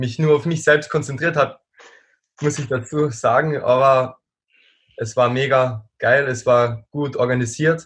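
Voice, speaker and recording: Speaking very slowly, a man uses a medium pitch. His intonation stays fairly even. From Austria. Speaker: strength athlete. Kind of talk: casual chat.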